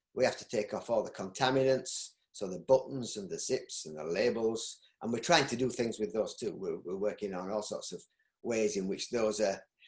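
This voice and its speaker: At a moderate pace, a man with a Yorkshire accent speaks with big swings in loudness. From Yorkshire, northern England. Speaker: textile recycling business owner. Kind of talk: interview. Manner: halting.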